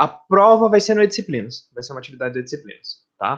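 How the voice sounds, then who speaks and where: A man talks fairly quickly. His pitch swings very widely. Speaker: university professor. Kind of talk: lecture. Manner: fast when excited; casual, talkative.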